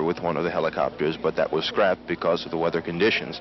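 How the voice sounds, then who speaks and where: A man talks while background noise remains noticeable. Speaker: TV news reporter. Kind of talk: live outdoor TV news reporting, 1977, on-the-spot play-by-play of the helicopter landing. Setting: outdoors at an airport in freezing wind. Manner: conversational, ad-libbed, with frequent 'uh' fillers and restarts; clear, measured newscaster delivery, matter-of-fact, briefly wry about the cold.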